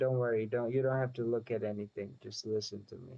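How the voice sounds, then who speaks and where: The man talks with monotone, flat intonation. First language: not English. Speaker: streamer building software. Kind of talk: casual chat.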